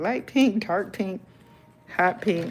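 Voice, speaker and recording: Music plays behind a woman speaking with a Southern US accent. Her tone is calm and relaxed, and her intonation is lively. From South Carolina, US South. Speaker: YouTuber and author. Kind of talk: live stream casual chat while coloring. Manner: calm, relaxed.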